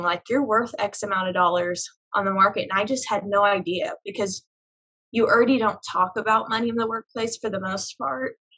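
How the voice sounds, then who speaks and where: In a plain, everyday voice, a woman with an American accent speaks at a medium pitch and a fairly quick pace. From Oklahoma, Tulsa. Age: young. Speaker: business development director and business owner. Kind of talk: casual interview.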